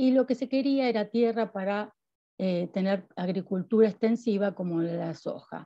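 Against a quiet background, a woman with a Rioplatense accent speaks fairly slowly in a dark, mellow tone with ordinary pitch variation. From Argentina. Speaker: university researcher. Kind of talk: academic lecture. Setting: video call. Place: home room. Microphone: video call.

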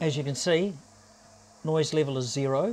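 A man with a fairly high pitch, ordinary pitch variation and a slightly mellow tone. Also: moderate pace.

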